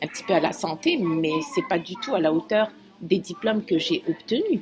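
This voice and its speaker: Against noticeable background noise, a woman speaks at medium pitch with lively intonation. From Algeria, Algiers. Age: 50s. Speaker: immigrant doctor, optometry assistant. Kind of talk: interview. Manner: halting.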